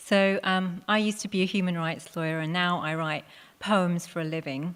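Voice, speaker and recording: With a London accent, a woman talks at a moderate pace in a fairly low pitch and fairly even intonation, captured in a very clean recording with a silent background. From England, Hounslow, west London. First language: Punjabi. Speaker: poet. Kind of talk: talk to live audience.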